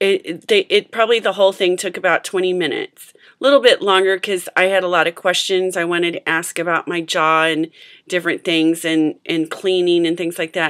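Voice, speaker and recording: With a plain, everyday voice, a woman of fairly low pitch talks at a fairly quick pace with hardly any pauses and fairly even intonation, in a dry, close sound with no echo. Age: 40s. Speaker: adult braces patient. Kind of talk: casual talk to camera.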